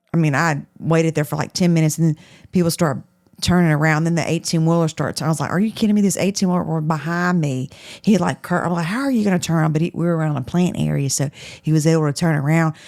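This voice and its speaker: Very fast speech with ordinary pitch variation, on a very clean recording with a silent background. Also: woman, fairly low pitch for a woman. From southwest Louisiana. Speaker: podcast co-host. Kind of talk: casual chat.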